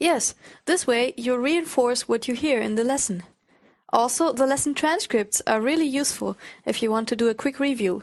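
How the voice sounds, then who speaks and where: A woman with a German accent speaks at a high pitch and moderate pace, with ordinary pitch variation. The background is quiet. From Germany. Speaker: language teacher. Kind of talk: language lesson.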